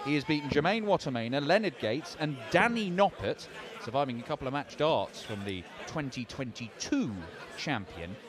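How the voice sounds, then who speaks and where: Over noticeable background noise, a man with a fairly high voice sounds animated and excited, his pitch swinging very widely. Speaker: darts commentator. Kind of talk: live sports commentary. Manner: animated, fast, excited play-by-play.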